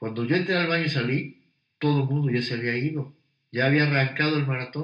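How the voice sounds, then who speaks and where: Here a man speaks at a medium pitch. His pitch varies in an ordinary way. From Mexico, Puebla. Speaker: businessman and marathon runner. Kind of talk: interview conversation. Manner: halting, repeats words.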